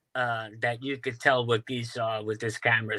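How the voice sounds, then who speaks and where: A man with a New York accent, fairly slow and monotone, with a bright, sharp tone. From Staten Island, New York. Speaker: UFO videographer. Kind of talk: interview.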